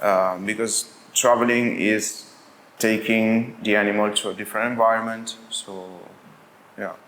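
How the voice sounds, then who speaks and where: At a fairly slow pace, a man with an Italian accent speaks at a medium pitch in a monotone, flat intonation. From Italy. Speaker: brewery and cafe owner. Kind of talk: interview. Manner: halting, with many fillers.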